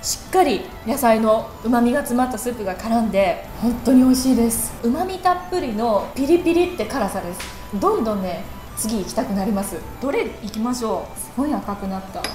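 A woman's high voice at a moderate pace, with audible room echo and clear music in the background. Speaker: food reporter. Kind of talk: food tasting commentary. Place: cafe.

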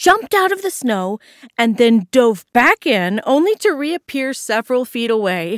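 A quiet background behind plain reading aloud

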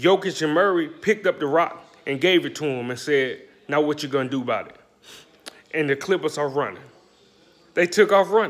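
With an American accent, a man speaks in a fairly high pitch at a fairly quick pace, with ordinary pitch variation, big swings in loudness and long, frequent pauses. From US South, Alabama (Birmingham/Bessemer). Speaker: sports commentator YouTuber. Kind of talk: casual sports commentary vlog. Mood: mocking, opinionated. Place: kitchen. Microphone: phone near.

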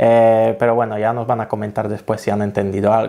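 Against a quiet background, a man talks at a moderate pace. His medium-pitched voice has a dark, mellow tone. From Poland. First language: Polish (speaking Spanish). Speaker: travel vlogger; language-learning vlogger. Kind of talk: tutorial. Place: home room. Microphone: studio mic.

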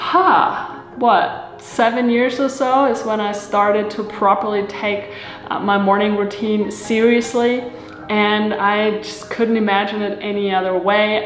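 At a fairly slow pace, a woman speaks with fairly even intonation. Audible room echo and light background noise are present. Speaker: lifestyle video creator. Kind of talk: casual vlog chat. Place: kitchen.

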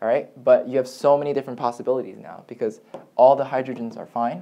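A man's dark, mellow tone at a moderate pace. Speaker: chemistry tutor. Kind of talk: lecture. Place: home room. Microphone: camera far.

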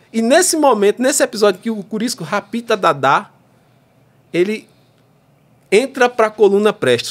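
A high-pitched man at a moderate pace, lively in intonation, with long, frequent pauses. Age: 30s. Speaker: federal judge; podcast guest, federal judge. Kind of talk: casual chat. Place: studio. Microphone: studio mic.

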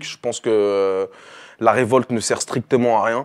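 A man speaks at a medium pitch with a monotone, flat delivery. The background is quiet. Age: 20s. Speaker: rapper; interviewee. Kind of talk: interview. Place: studio. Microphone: lapel.

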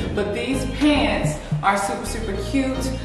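A woman speaks at a fairly slow pace amid strong room echo and clear music in the background. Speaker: fashion haul vlogger. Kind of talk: casual vlog chat. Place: studio.

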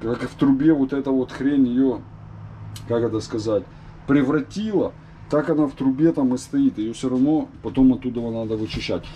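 The man talks at a moderate speed while light noise sits in the background. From former Soviet Union. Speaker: vlogger; home DIY vlogger. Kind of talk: casual tutorial vlog; tutorial. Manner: casual, filler-heavy. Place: kitchen. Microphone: phone near.

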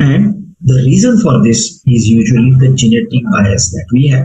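Light background noise sits behind a man at a medium pitch with lively intonation. His voice is somewhat breathy, with a dark, mellow tone. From India. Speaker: physician; medical lecturer. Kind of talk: lecture.

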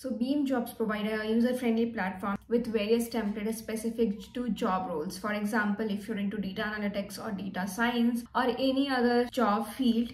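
A woman at a moderate pace with fairly even intonation, hardly any pauses, and audible room echo. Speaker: career vlogger. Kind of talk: casual vlog tutorial. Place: home room. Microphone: phone near.

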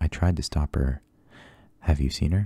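Soft-spoken and somewhat breathy, a man with a very deep, low pitch and a dark, mellow tone talks at a fairly slow pace with ordinary pitch variation, in a dry sound with no echo. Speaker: ASMR storyteller. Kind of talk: audiobook reading. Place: home room.

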